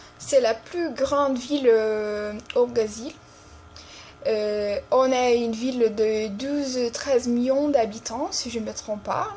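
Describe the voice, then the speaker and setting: Here a woman speaks with a high pitch. Her pace is very slow, and background noise is noticeable. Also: ordinary pitch variation. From Brazil, São Paulo. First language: Brazilian Portuguese (speaking French). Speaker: language teacher. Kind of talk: tutorial. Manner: hesitant, many fillers.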